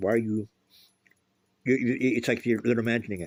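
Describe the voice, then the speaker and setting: A medium-pitched man talks at a fairly quick pace in a very clean recording with a silent background. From US West Coast, Los Angeles. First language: Spanish. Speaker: political commentator. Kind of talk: casual opinion monologue. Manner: animated.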